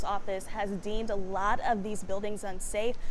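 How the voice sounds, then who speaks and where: A woman speaks at a fairly high pitch with ordinary pitch variation. Hers is an ordinary speaking voice at a moderate pace. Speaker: television news anchor and reporter. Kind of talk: television news reporting. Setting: on location outdoors.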